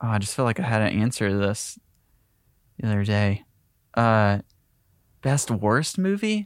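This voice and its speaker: A man with a Southern US accent speaks with long, frequent pauses. His loudness is very even and his pitch varies in an ordinary way. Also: fairly low pitch for a man, moderate pace, very clean recording, silent background. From US South, Tennessee/Georgia line near Chattanooga. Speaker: filmmaker. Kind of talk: casual interview.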